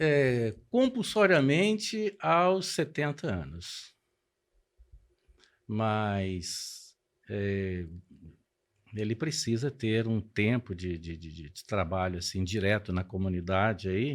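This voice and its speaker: In a very clean recording with a silent background, a man with a fairly low pitch speaks very slowly, with lively intonation, big swings in loudness, and long, frequent pauses. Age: 60s. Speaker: pastor. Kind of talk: podcast interview.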